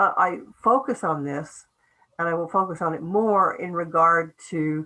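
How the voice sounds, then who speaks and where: Long, frequent pauses break up this woman's speech. She has an American accent and a fairly low pitch with ordinary pitch variation. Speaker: professor. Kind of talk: lecture. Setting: video call. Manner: fast.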